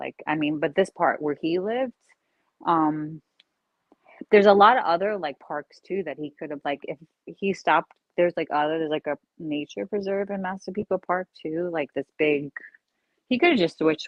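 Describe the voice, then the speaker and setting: In a Long Island accent, a woman speaks at a moderate pace. Her pitch is very deep and low, with ordinary variation. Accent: Long Island accent, slight slur. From eastern Long Island, New York. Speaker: live streamer. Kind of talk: casual chat. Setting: live stream. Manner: halting, filler-heavy.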